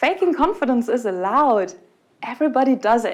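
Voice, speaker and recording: Talking at a moderate speed, a woman speaks in a German accent. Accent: non-native English, German. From Germany. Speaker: conference speaker. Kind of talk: conference talk. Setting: stage with audience.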